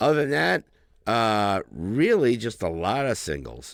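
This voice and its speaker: In a very clean recording with a silent background, a man speaks at a very deep, low pitch with vocal fry. His pace is fairly slow, and his pitch swings very widely. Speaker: podcast co-host and musician. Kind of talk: casual chat. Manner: casual, hesitant with fillers.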